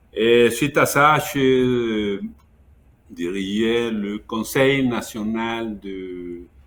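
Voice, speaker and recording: A man with a Mexican accent talks at a medium pitch with ordinary pitch variation. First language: Spanish (speaking French). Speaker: education consultant, former minister. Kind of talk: webinar interview. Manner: halting.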